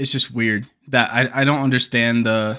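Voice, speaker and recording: A man speaks in a bright, sharp tone with monotone, flat intonation. The recording is very clean, with a silent background. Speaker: gaming youtuber. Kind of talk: casual video commentary. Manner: stumbling, halting today; casual, filler-heavy.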